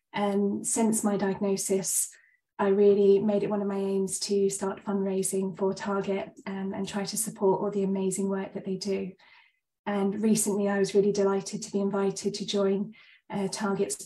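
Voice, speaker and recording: A woman's voice of medium pitch, somewhat breathy, with a dark, mellow tone and monotone, flat intonation. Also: moderate pace. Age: 30s. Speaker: GP and cancer survivor. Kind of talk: presentation.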